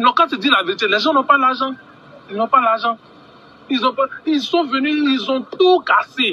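A man's raised, projected voice at an extremely high pitch, with ordinary pitch variation, a moderate pace, long, frequent pauses and noticeable background noise. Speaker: ordinary citizen. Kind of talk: rant. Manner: animated.

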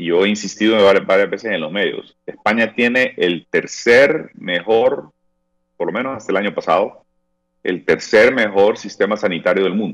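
A man speaks at a moderate pace with a quiet background. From Honduras. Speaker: head of a government investment agency. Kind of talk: interview. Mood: calm, explanatory. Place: home room. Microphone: earbuds.

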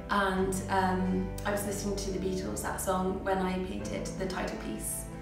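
Clear music sits in the background and audible room echo surrounds the voice as it moves at a moderate pace. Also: woman. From England. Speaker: watercolour artist. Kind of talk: interview answer. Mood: warm, animated. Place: home room. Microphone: camera far.

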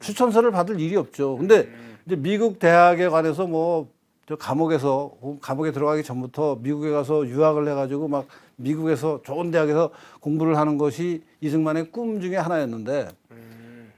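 This man has an ordinary speaking voice and talks at a moderate pace. His intonation is lively, and his loudness swings widely. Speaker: retired professor. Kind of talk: interview on history.

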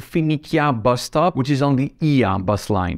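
The background is quiet. A man talks with very wide pitch swings. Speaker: travel channel host. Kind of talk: travel recommendation talk to camera. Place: home room. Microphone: lapel.

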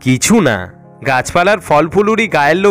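A man's fairly high voice with lively intonation, over music in the background. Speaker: storyteller. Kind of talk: horror story reading.

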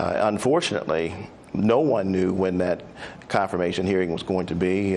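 With a Southern US accent, a man speaks at a moderate pace in a very deep, low pitch with ordinary pitch variation. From Mississippi, Biloxi. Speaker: doctor. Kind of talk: tv interview. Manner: halting, many fillers.

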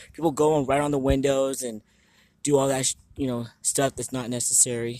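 A man at a very fast pace, monotone and flat, in a dry sound with no echo. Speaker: vlogger exploring. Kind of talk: casual vlog chat.

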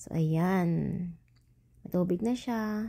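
In a very clean recording with a silent background, a woman with a medium pitch and a dark, mellow tone speaks somewhat breathily at a fairly slow pace with ordinary pitch variation. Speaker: cooking vlogger. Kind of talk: cooking voice-over tutorial. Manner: chatty, casual; stumbling over words.

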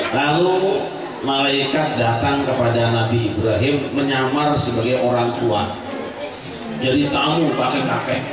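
Strong room echo and noticeable background noise surround a man's voice. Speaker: Islamic preacher. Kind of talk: sermon with humor. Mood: humorous storytelling. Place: home room.

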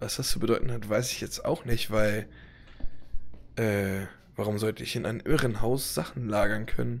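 This man's voice sits fairly low and shows vocal fry. He leaves long, frequent pauses. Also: ordinary pitch variation, moderate pace. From Hannover, Germany. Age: 20s. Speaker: gaming YouTuber and motovlogger. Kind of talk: let's play commentary. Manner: casual, loud.

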